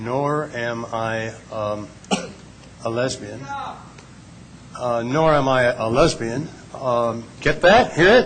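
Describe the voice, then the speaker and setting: A man speaks very slowly in an American accent. Noticeable background noise and audible room echo are present. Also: medium pitch for a man, ordinary pitch variation. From US Midwest, Kansas City, Missouri. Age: 70s. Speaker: panelist, civil rights veteran. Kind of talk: panel talk.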